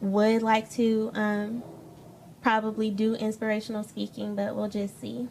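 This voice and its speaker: A woman with an American accent talks at a moderate pace. Her pitch is fairly high, and there is noticeable background noise. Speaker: spoken word poet. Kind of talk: interview. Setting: bookstore talk show set. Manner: hesitant.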